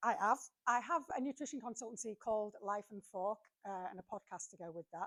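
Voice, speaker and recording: A woman talks at a fairly quick pace in a fairly high, bright, sharp voice. Her loudness swings widely. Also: dry, close sound with no echo. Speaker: nutritionist. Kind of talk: presentation talk. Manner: fast.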